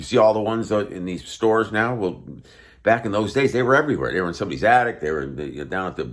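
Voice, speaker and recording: With very wide pitch swings, a man talks in a voice marked by vocal fry. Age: 60s. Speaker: guitarist and instrument seller. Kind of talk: casual talk to camera. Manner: relaxed, with many fillers.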